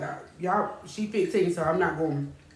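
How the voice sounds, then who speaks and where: A woman's fairly low voice at a moderate pace, with audible room echo and noticeable background noise. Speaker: talk show host. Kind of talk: casual chat. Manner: loud; animated.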